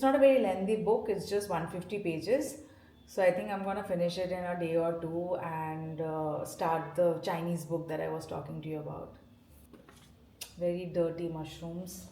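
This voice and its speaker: Noticeable background noise and audible room echo surround a woman speaking at a moderate pace, fairly low in pitch with ordinary pitch variation. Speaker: lifestyle vlogger. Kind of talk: casual vlog narration. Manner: hesitant, many fillers.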